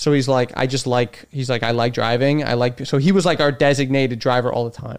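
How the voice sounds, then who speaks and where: With a slight Chicago accent, a man talks at a fairly quick pace, hardly pausing, and keeps his intonation fairly even. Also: medium pitch for a man. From Chicago, US Midwest. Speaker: stand-up comedian. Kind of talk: casual chat. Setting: in the host's home studio.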